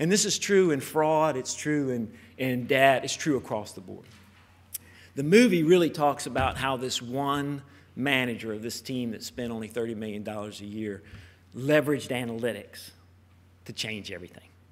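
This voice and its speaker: A man with an American accent at medium pitch, lively in intonation, with big swings in loudness, at a moderate pace. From United States. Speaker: conference speaker, software company representative. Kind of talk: conference talk. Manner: casual, some hesitations.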